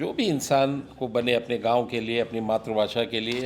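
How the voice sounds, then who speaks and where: A man's voice at a medium pitch. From Mumbai, India. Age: 60s. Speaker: businessman and social worker. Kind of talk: podcast interview. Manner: reflective, with fillers.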